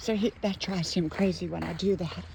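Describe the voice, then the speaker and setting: A woman's medium-pitched voice in an Appalachian accent, with fairly even intonation and noticeable background noise. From West Virginia, Appalachia. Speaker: motivational vlogger. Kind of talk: casual talk to camera. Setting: outdoors.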